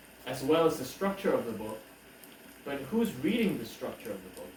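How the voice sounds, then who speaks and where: A man with very wide pitch swings, amid noticeable background noise and audible room echo. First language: Korean (bilingual with English). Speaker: book reviewer / YouTuber. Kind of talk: casual monologue book review. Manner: halting, many fillers.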